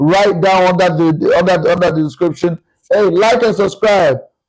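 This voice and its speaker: Animated in tone, a man with a Nigerian accent speaks at a high pitch. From Nigeria (Yoruba). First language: Yoruba. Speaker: podcast guest, choir singer. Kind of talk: casual chat.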